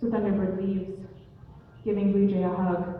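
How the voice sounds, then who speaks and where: A woman at medium pitch, moderate pace and monotone, flat intonation, against noticeable background noise. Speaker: storyteller. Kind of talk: live oral storytelling. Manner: casual, conversational.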